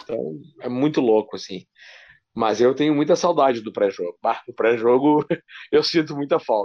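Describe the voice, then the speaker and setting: A man with a southern Brazilian accent speaks at a moderate pace, medium in pitch with ordinary variation. His speech has long, frequent pauses. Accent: gaúcho Brazilian Portuguese. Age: 40s. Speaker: sports radio journalist. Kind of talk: casual interview.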